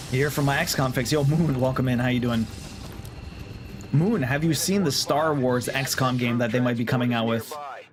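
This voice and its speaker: Music plays in the background and room echo is audible as a man speaks at a fairly quick pace, with very even loudness and ordinary pitch variation. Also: medium pitch for a man. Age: 30s. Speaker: video game streamer. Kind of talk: live gameplay commentary and chat with viewers. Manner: casual, thinking aloud with hesitations.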